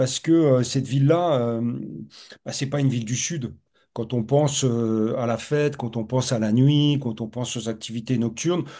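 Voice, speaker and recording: With a medium pitch and ordinary pitch variation, this man keeps a moderate pace. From north-east France, Lorraine. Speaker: professor, urban researcher. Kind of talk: webinar discussion. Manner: halting, many repetitions and fillers.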